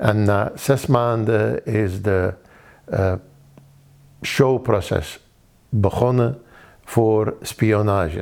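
The speaker, with an Arabic accent, goes at a very slow pace with long, frequent pauses and fairly even intonation. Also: man, fairly low pitch for a man. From Iraq, Baghdad. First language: Arabic (speaking Dutch). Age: 60s. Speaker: refugee. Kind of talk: testimony. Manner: halting.

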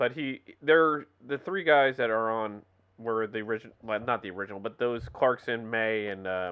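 In a normal speaking voice, a man talks at a medium pitch and moderate pace with ordinary pitch variation. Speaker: podcast host. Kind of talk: casual chat.

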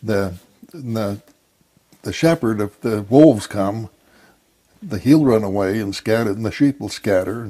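A man with an American accent, fairly low in pitch, dark and mellow in tone, at a fairly slow pace with long, frequent pauses. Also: ordinary pitch variation. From Idaho. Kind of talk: interview testimony. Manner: halting.

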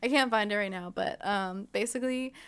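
Talking at a fairly quick pace with an American accent, a woman has an unremarkable speaking voice at a medium pitch with ordinary pitch variation, recorded very cleanly against a silent background. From Ontario, California (Inland Empire). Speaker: podcast co-host. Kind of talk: casual chat.

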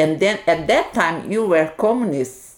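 A woman speaks with a Portuguese accent. Her pitch sits fairly low. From Brazil, Minas Gerais. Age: 60s. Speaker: Hare Krishna devotee. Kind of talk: interview.

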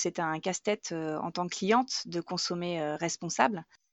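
A woman speaks in a normal speaking voice at a fairly low pitch, with a moderate pace and ordinary pitch variation. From Normandy. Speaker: grocery shop co-owner, former marketer. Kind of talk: testimony.

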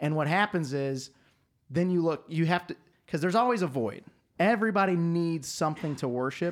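An American accent comes through at a fairly quick pace with ordinary pitch variation. The recording is very clean, with a silent background. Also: man, high pitch for a man. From US South. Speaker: podcast guest. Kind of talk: casual chat. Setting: studio.

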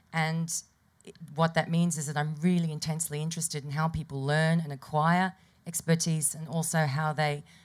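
The speaker talks at a fairly quick pace in a somewhat breathy voice, with monotone, flat intonation and big swings in loudness. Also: woman, very deep, low pitch for a woman. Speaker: music lecturer. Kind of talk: panel introduction.

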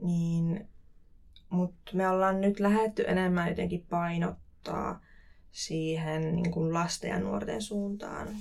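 A woman speaks very slowly at a fairly low pitch. Her intonation stays fairly even. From Finland, Kuopio (Savo). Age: 20s. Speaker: cultural event producer. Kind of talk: casual interview. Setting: studio.

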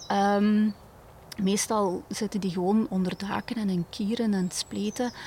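A woman with a Limburg accent, medium in pitch, with fairly even intonation. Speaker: bird conservation educator. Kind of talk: interview. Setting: outdoors in a garden.

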